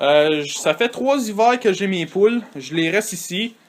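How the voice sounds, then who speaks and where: Over noticeable background noise, a man talks at a very slow pace with ordinary pitch variation. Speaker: hobby farmer. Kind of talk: casual video tour. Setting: in a henhouse. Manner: hesitant, many filler sounds.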